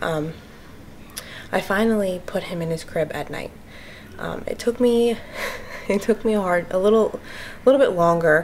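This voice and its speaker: A woman's voice with ordinary pitch variation and light background noise. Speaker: family vlogger. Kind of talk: casual vlog chat. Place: home room. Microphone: phone near.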